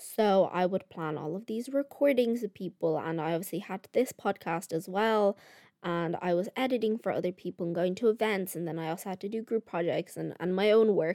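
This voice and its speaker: Speaking in a Dublin accent, a woman with a dark, mellow tone and medium pitch moves at a fairly quick pace with hardly any pauses and ordinary pitch variation, on a very clean recording with a silent background. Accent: Irish (Dublin). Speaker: podcast host, college student. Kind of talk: casual solo chat. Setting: home recording with microphone. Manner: animated.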